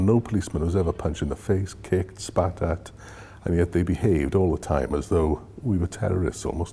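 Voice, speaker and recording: A man with a South Welsh accent talks at a fairly quick pace in a very deep, low pitch. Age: 60s. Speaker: former police officer. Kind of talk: interview testimony.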